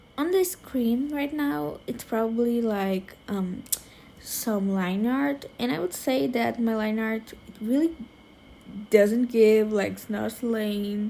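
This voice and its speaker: Speaking very slowly with a non-native accent, a woman has a fairly high pitch, a dark, mellow tone, and lively intonation. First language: not English. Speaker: digital artist. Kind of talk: tutorial voiceover. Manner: casual, filler-heavy.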